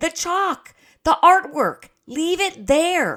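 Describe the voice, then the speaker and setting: In a put-on character voice, a woman projects at an extremely high pitch, raising her voice while keeping a very slow pace. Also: ordinary pitch variation. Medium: read story. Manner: firm, particular.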